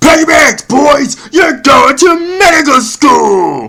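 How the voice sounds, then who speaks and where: A man shouts in a cartoonish character voice at an extremely high pitch. His pace is very slow. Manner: gruff, greedy.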